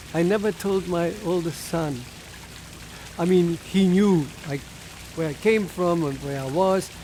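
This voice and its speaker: A high-pitched man with a German accent at a fairly slow pace, with noticeable background noise. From Germany, Berlin. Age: 90s. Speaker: Holocaust-era refugee telling life story. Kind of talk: oral history testimony. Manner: halting.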